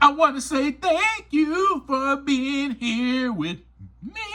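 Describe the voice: A man puts on a character voice in falsetto, extremely high in pitch. He talks at a very slow pace in a raised, projected voice.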